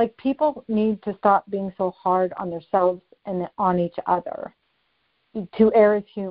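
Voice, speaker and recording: A woman with an ordinary speaking voice, medium pitch, and ordinary pitch variation. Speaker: author and life coach. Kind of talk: interview.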